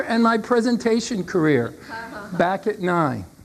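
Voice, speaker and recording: A woman talks at a moderate pace with lively intonation. Noticeable background noise is audible behind her. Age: 60s. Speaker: motivational speaker and salesperson. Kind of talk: keynote speech. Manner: animated.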